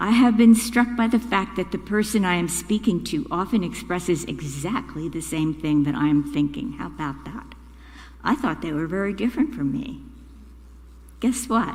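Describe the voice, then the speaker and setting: Audible room echo surrounds a woman whose pitch swings very widely and who speaks with vocal fry. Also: medium pitch for a woman, moderate pace. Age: 80s+. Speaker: congregant lay speaker. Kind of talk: prepared reflection at a church service. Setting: church.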